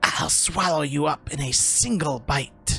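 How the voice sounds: A raspy, put-on character voice sits at a low-to-middle pitch and moves at a fairly slow pace. Faint music plays in the background.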